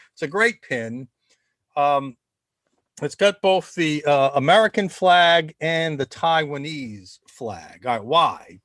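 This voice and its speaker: In a Rhode Island accent, a man with a fairly high pitch talks at a very slow pace with lively intonation, the sound dry and close with no echo. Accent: Rhode Island accent, somewhat tempered. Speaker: think tank host, former ballplayer. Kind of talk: casual webcast monologue. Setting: live video stream. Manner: halting, many repetitions and fillers.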